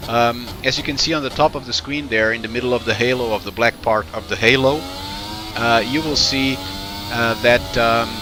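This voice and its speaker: Noticeable background noise sits behind a man speaking at a moderate pace with a medium pitch and ordinary pitch variation. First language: not English. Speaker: sim racing reviewer. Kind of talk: commentary over gameplay footage. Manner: halting, many fillers and restarts.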